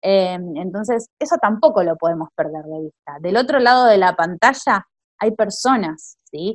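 At a fairly slow pace, the voice swings very widely in pitch, recorded with a dry, close sound and no echo. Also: woman. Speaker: podcast host, teacher. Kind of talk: casual chat.

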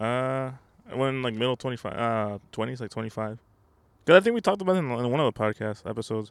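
Here is a man with an unremarkable speaking voice. His pitch is medium and varies in an ordinary way. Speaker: podcast host. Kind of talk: casual chat. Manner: casual, joking.

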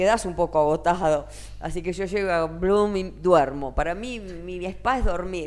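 At a moderate pace, the talking comes in a normal speaking voice with ordinary pitch variation. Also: woman, fairly low pitch for a woman. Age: 60s. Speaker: singer and singing teacher. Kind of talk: interview.

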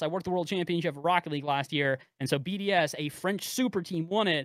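A man with an American accent, high-pitched, with ordinary pitch variation, at a very fast pace. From US West Coast (San Francisco Bay Area). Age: 20s. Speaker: esports caster. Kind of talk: casual chat. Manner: talkative.

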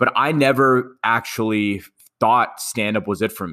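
Speaking at a moderate pace with a New York accent, a man has a bright, sharp tone and ordinary pitch variation on a very clean recording with a silent background. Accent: New York American. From New York, Queens. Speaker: finance influencer and comedian. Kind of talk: casual interview chat.

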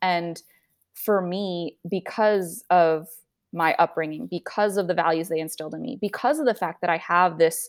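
In an ordinary speaking voice, a woman talks at a moderate pace with medium pitch and ordinary pitch variation, in a very clean recording with a silent background. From US, suburbs of Washington DC. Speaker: personal finance content creator. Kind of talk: casual interview.

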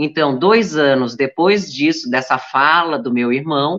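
A woman's fairly slow speech with lively intonation. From Santa Catarina, Brazil (Blumenau). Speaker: journalist and businesswoman. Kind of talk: interview.

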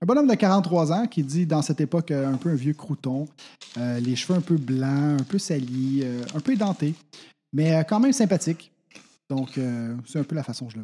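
With a Quebec accent, a man speaks at a moderate pace in a fairly high pitch, his tone dark and mellow and his intonation lively, on a very clean recording with a silent background. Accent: Québécois French. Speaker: tabletop role-play player. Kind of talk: tabletop role-play, in character.

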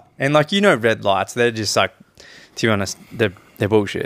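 A man with an Australian accent, fairly low pitch, and a fairly quick pace. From Coffs Harbour, New South Wales, Australia. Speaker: podcast co-host. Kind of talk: casual chat. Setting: on a couch at home.

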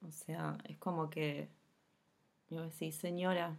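In a very clean recording with a silent background, a woman speaks with a Rioplatense accent. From Argentina, Buenos Aires conurbano. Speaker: podcast host. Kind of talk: casual interview. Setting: home recording.

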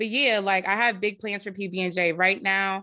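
A woman's medium-pitched voice with a New Jersey accent, bright and sharp in tone, at a moderate pace over a quiet background. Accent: New Jersey American. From North Jersey, US. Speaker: DJ and producer. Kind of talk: casual interview chat.

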